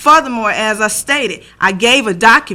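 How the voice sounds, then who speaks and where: Recorded very cleanly against a silent background, a woman's fairly high voice has a bright, sharp tone and ordinary pitch variation. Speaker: school board member. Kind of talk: board meeting discussion.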